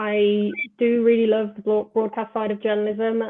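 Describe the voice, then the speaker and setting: A woman at a fairly high pitch and moderate pace, with a slight Birmingham accent. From England, Birmingham. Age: 20s. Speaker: football journalist. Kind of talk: interview. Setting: live online show.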